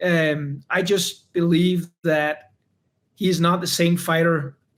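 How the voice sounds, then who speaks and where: Speaking with a non-native accent, a man uses a high pitch and fairly even intonation. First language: not English. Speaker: UFC fighter. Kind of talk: interview. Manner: halting, many repeated words.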